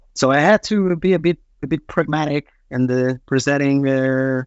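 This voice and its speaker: The man talks at a fairly slow pace. His pitch is medium, with ordinary variation. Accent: Portuguese. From Portugal. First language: Portuguese. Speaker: product manager. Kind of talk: panel discussion. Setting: video call.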